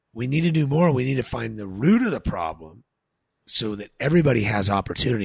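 Speech comes at a very fast pace with an American accent and very wide pitch swings. The voice is somewhat breathy. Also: man. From Southern California (San Dimas). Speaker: winemaker and farmer. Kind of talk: casual chat.

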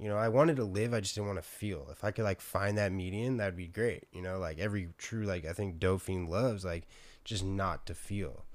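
A man with an American accent speaks at a fairly quick pace in a fairly low pitch. His pitch varies in an ordinary way, and the recording is very clean with a silent background. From San Diego, California. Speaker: person in addiction recovery. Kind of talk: casual chat.

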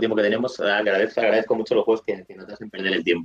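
A man talks very fast in a dry, close sound with no echo. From Galicia, Spain (A Coruña). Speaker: video game reviewer. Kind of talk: casual interview.

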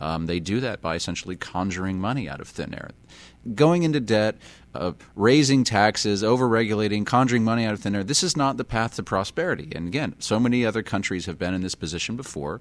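The speaker talks at a very fast pace with lively intonation in a very clean recording with a silent background. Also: man, fairly low pitch for a man. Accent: American. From US. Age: 30s. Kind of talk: casual interview chat. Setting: on location in Honduras.

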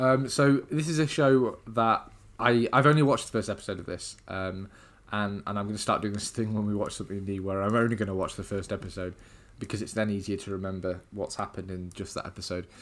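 In a very clean recording with a silent background, a man with an English accent and a fairly low pitch talks at a very fast pace. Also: ordinary pitch variation. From England. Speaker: podcast host. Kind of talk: casual chat.

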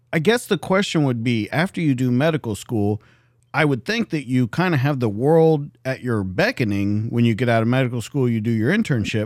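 Lively intonation and a fairly quick pace mark an unremarkable speaking voice on a very clean recording with a silent background. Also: man, medium pitch for a man. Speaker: podcast host, police detective and army veteran. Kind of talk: interview. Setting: studio.

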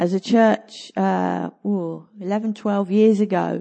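Her pitch is medium. The speaker is a woman. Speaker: pastor. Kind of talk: sermon. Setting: church.

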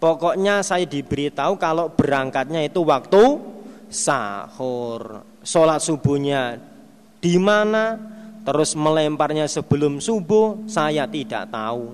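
The pace is very slow. The intonation is lively. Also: man, fairly high pitch for a man. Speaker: Islamic religious teacher. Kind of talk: religious study lecture with hadith translation.

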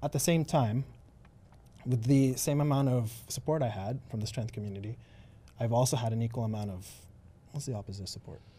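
A man's somewhat breathy voice with a dark, mellow tone, fairly quick in pace but broken by long, frequent pauses. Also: medium pitch for a man, ordinary pitch variation. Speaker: gym owner and bodybuilder. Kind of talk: casual interview chat. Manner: casual, laid-back.

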